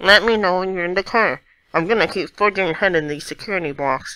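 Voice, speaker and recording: A put-on character voice at a middle pitch races along at a very fast pace in a very clean recording with a silent background. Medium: solo performance. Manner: urgent, clipped.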